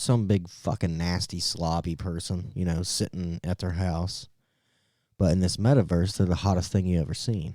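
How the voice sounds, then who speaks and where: In a very clean recording with a silent background and a dry, close sound with no echo, a man with an American accent speaks at a moderate pace, his very deep, low voice dark and mellow in tone. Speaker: podcast co-host. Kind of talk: casual chat.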